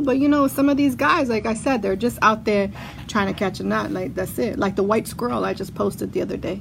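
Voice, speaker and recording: A woman with an animated tone at a fairly quick pace, over noticeable background noise. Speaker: podcast host. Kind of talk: casual chat. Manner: animated, talkative.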